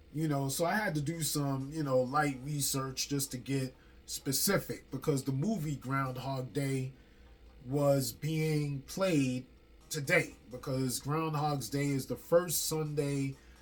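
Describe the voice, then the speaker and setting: The speaker talks at a very slow pace with ordinary pitch variation while music plays in the background. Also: man. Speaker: spiritual teacher. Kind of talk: casual spiritual talk. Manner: stutter; freestyle, loose delivery.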